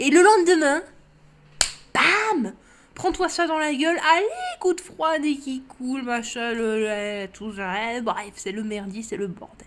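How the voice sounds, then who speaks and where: A woman speaks at a very slow pace in a high voice. Her pitch swings very widely and her loudness rises and falls sharply. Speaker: drawing youtuber. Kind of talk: casual vlog chat. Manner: hesitant, repeating words.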